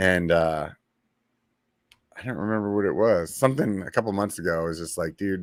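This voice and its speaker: On a very clean recording with a silent background, a man talks at a fairly quick pace in a fairly low voice with ordinary pitch variation. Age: 40s. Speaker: podcast host. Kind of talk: casual chat. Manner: halting.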